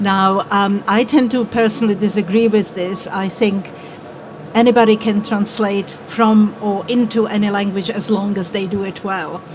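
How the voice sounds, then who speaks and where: Moderate-paced speech from a woman with a Czech accent at a medium pitch, in a monotone, flat intonation over noticeable background noise. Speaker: translation panelist. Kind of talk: panel discussion.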